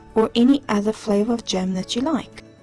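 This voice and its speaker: A woman with a fairly high voice and ordinary pitch variation talks while music plays in the background. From South Africa. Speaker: home baker, food YouTuber. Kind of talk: cooking tutorial narration.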